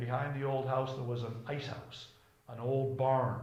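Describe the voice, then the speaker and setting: A man with a New England accent talks at a moderate pace in a medium pitch. Noticeable background noise and audible room echo come through. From Cape Cod, Massachusetts. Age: 70s. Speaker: local resident interviewee. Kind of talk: oral history interview.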